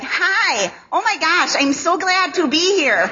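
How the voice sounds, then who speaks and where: A put-on character voice at a fairly slow pace. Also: woman, extremely high pitch for a woman. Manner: sweet, gushing.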